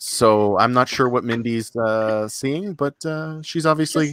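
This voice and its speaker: A man talks at medium pitch and a fairly slow pace in a plain, everyday voice. His pitch variation is ordinary. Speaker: podcast host.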